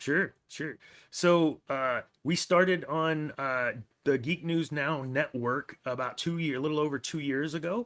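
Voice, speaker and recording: At a fairly slow pace with ordinary pitch variation, a plain, everyday voice comes through a very clean recording with a silent background. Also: man, fairly high pitch for a man. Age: 40s. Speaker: podcast host, guest on another show. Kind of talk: casual chat.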